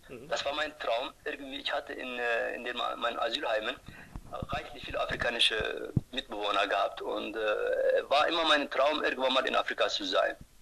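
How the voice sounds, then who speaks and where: A man with a Turkish accent talks at a moderate pace. Noticeable background noise runs behind him. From Turkey. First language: Turkish (speaking German). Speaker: ultrarunner. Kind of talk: interview. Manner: halting.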